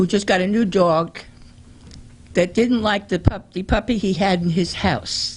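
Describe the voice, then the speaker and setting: Somewhat breathy, a woman speaks at a fairly slow pace in a medium pitch. Her pitch varies in an ordinary way. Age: 70s. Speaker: resident speaking at council meeting. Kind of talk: public comment. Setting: city council meeting. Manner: halting.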